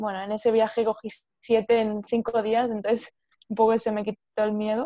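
At a moderate pace, a woman with a Spanish accent speaks at a fairly high pitch in a dark, mellow tone with monotone, flat intonation. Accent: Peninsular Spanish. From Spain. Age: 20s. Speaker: podcast co-host. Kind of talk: casual chat.

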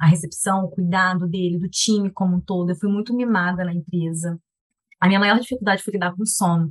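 Fairly even intonation, a fairly quick pace and a somewhat breathy sound. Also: woman, medium pitch for a woman. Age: 30s. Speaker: product manager, mother. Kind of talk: casual chat.

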